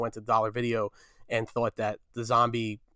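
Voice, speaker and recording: A man speaks in a New Jersey accent. The recording is very clean, with a silent background. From New Jersey, Fair Lawn. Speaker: film journalist guest. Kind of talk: casual chat.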